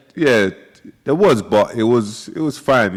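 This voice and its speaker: Here a man talks in a London accent at a moderate pace. His intonation is lively. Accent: London English (multicultural London). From South London. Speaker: influencer and music figure, former prisoner. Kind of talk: casual interview chat.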